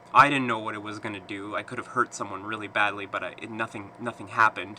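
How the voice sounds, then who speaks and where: Speaking at a fairly quick pace, a man with a fairly low pitch holds a monotone, flat intonation. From eastern Canada (Quebec, New Brunswick). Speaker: vlogger. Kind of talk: personal vlog monologue. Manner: halting, many fillers.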